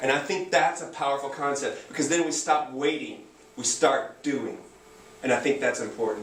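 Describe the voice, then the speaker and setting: Speaking with an American accent at a moderate pace, a man uses fairly high pitch and ordinary pitch variation, with audible room echo and noticeable background noise. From Texas. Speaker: anarchist activist and community organizer. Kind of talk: public talk.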